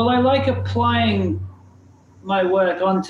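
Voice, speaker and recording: There is noticeable background noise as a man speaks at a high pitch that swings very widely. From southern Wales. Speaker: artist. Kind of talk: casual chat.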